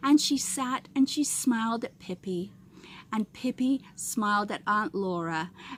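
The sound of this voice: The speaker uses an unforced reading voice. It stays that way throughout.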